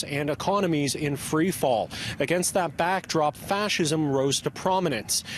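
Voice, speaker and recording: Over noticeable background noise, a man with a fairly high voice talks at a fairly slow pace, with ordinary pitch variation and very even loudness. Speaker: TV news reporter. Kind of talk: TV news report narration.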